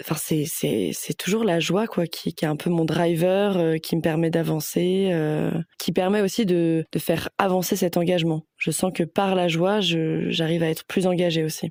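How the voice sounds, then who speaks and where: Recorded dry and close with no echo, a woman speaks fairly slowly in a fairly low pitch, with fairly even intonation and hardly any pauses. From Paris suburbs, France. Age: 20s. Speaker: sustainability manager. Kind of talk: interview testimony. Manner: hesitant, many fillers.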